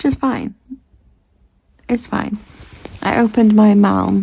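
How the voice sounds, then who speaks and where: A soft-spoken woman talks at a fairly slow pace. Her tone is dark and mellow, and somewhat breathy. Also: fairly even intonation. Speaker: vlogger. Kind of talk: casual vlog chat. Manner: drowsy murmur, eyes closing. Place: home room. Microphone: phone near.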